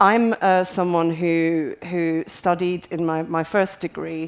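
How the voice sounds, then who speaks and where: A woman with a Scottish accent speaks at a fairly slow pace and a fairly low pitch. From Scotland. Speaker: patient advocate. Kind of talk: panel discussion. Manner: halting.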